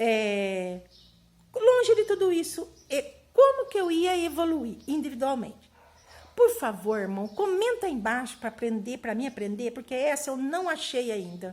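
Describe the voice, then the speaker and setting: A fairly slow, high-pitched female voice marked by very wide pitch swings. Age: 60s. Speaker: spiritist YouTuber. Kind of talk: casual monologue to camera. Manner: animated; halting.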